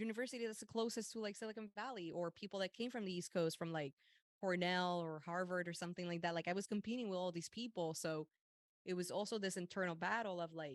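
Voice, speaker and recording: In a dry, close sound with no echo, a woman with a slight Puerto Rican accent talks very fast at a medium pitch, with ordinary pitch variation. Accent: light Puerto Rican Spanish. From Puerto Rico. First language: Spanish. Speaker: meditation coach and mental health advocate. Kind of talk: interview conversation.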